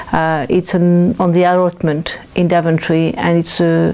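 A woman with a French accent speaks at a very slow pace, her pitch fairly low and her intonation monotone and flat. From France. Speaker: local councillor. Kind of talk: interview. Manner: halting. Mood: calm, pleasant. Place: home room.

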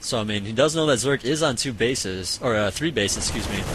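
A man's intonation is lively, and noticeable background noise can be heard. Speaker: esports caster. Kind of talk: live commentary. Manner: casual, filler-heavy.

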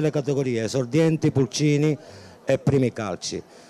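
At a fairly quick pace, a man with a dark, mellow tone speaks with ordinary pitch variation. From Sicily. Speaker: youth football technical director. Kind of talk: interview. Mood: proud, hopeful. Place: stadium. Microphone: handheld.

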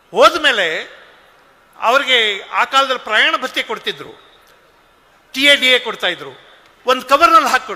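A man's raised, projected voice at an extremely high pitch, with lively intonation over noticeable background noise. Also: big swings in loudness. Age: 60s. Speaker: public speaker. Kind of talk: speech. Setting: stage with audience.

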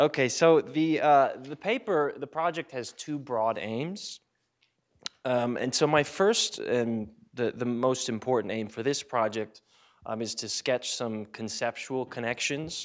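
Against a quiet background, a man speaks at a fairly slow pace. His pitch variation is ordinary. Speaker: conference presenter. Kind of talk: academic talk. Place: classroom. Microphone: handheld.

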